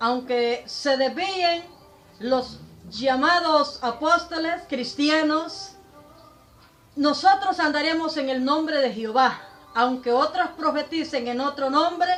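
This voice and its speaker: Music plays in the background. The delivery is very slow, with ordinary pitch variation. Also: woman, high pitch for a woman. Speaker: preacher. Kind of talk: religious sermon denouncing a preacher.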